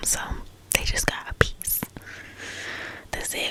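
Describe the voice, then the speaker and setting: Whispered speech from a woman at a moderate speed, with noticeable background noise underneath. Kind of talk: ASMR whisper talk about healing and growth, casual personal chat. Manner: whispered, soft, calming.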